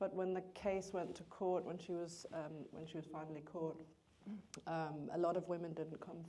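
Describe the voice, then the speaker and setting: The speech comes at a moderate pace in a monotone, flat intonation, with audible room echo. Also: woman. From Denmark. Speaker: screenwriter. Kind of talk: Q&A after film screening.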